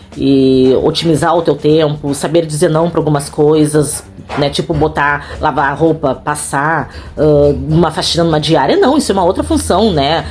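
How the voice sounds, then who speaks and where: A woman's very deep, low voice, animated in tone and very even in loudness, over noticeable background noise. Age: 40s. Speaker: house cleaner and vlogger. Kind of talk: casual vlog monologue. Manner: fast.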